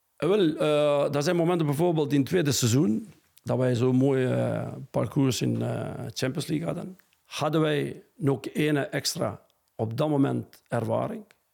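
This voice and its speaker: A man talks fairly slowly in an Albanian accent, his pitch fairly high with ordinary variation. His tone is dark and mellow. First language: Albanian (speaking Dutch). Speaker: football coach. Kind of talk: interview. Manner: halting.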